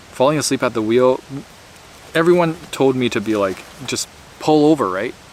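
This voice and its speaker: A man at a fairly quick pace, over noticeable background noise. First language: Mandarin. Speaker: YouTuber, former scientist. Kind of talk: casual monologue. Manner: rambling with fillers.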